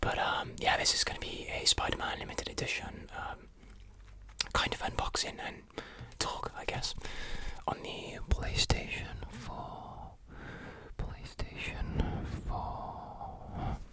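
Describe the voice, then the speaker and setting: With long, frequent pauses, the whispering moves at a very slow pace against noticeable background noise. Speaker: ASMR creator. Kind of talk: whispered ASMR unboxing. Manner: whispered.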